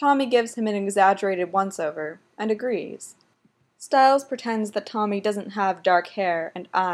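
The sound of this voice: The surroundings stay quiet while someone reads in an unforced voice.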